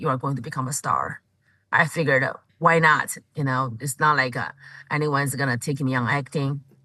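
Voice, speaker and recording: Bright and sharp in tone, this voice moves at a fairly quick pace with fairly even intonation and a strong Chinese accent. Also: woman. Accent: thick Chinese. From China. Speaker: comedian. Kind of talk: interview. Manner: halting, with many fillers.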